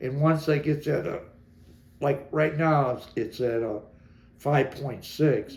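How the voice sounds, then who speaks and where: Fairly high in pitch and somewhat breathy, a man speaks with an American accent. His pace is moderate and his intonation fairly even. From Detroit, Michigan. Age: 70s. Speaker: interviewee recounting his life. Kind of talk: personal interview. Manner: halting.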